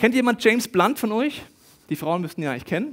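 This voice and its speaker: A man speaks against a quiet background. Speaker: preacher. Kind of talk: sermon. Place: stage. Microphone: headset.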